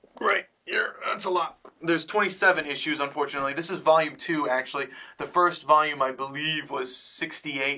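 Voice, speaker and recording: Here a man talks at a fairly quick pace. His pitch is fairly high. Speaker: comic book reviewer. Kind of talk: casual review chat. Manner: fast.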